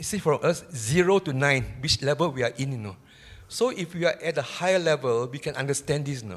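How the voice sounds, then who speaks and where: Somewhat breathy and fairly quick, the speech rises and falls with lively intonation. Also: man, fairly high pitch for a man. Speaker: audience member asking questions. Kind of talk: question from audience.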